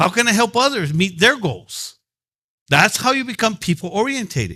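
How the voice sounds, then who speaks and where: A man's raised, projected voice sits high in pitch and swings very widely, captured in a very clean recording with a silent background. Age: 60s. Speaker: mentor leading a reentry program class. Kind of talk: motivational class talk. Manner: repetitive, emphatic.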